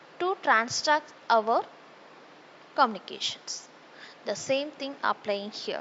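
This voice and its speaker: The speaker has a Tamil accent and lively intonation. The pace is very slow. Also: woman. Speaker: teacher. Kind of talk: lecture. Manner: hesitant, with frequent fillers.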